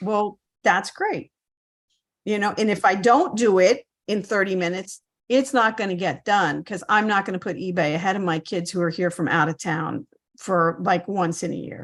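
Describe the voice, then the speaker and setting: A woman talks at a moderate pace in an unremarkable speaking voice. Her pitch is medium, with ordinary pitch variation. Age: 60s. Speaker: reseller on a mentorship call. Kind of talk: casual chat.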